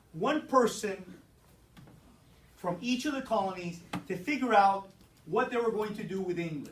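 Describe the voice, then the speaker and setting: With a high pitch, lively intonation and an animated tone, a man speaks at a fairly slow pace amid audible room echo and noticeable background noise. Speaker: teacher. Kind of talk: classroom lecture. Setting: classroom with students.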